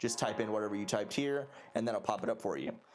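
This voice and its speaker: Music in the background behind a man at a medium pitch, talking at a very fast pace. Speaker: gaming YouTuber. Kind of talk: tutorial. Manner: halting.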